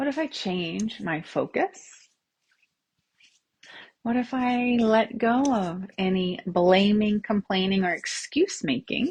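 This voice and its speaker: Speaking very slowly with long, frequent pauses, a woman uses a fairly high pitch, lively intonation and a somewhat breathy voice. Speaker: tapping and self-havening coach. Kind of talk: guided tapping session, live-stream style. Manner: upbeat, friendly, conversational.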